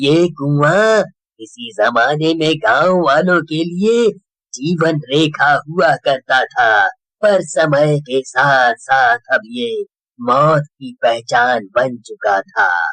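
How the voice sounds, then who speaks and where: Using a cartoonish character voice, a man speaks at a very slow pace with a fairly high pitch and lively intonation. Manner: slow, solemn.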